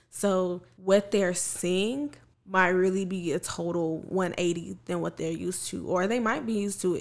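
A woman with a plain, everyday voice talks at a moderate pace, her medium pitch showing ordinary pitch variation. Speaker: math teacher and podcaster. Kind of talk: casual chat.

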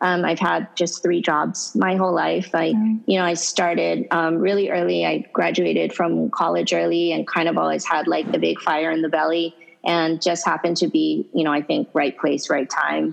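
Background music can be heard. Over it, a woman speaks at a moderate pace. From Hawaii. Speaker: fashion brand founder and CEO. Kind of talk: interview conversation.

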